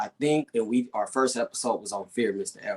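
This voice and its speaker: Speaking at a fairly quick pace, the voice belongs to a man. The sound is dry and close, with no echo. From US West Coast, Compton, Los Angeles. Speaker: podcast co-host. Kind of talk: casual podcast discussion.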